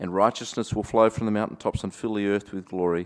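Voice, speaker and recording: A man with an Australian accent talks at a fairly quick pace and a fairly low pitch, with ordinary pitch variation. The recording is very clean, the background silent. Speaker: pastor. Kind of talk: sermon. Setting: church. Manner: reflective, conversational, light humor.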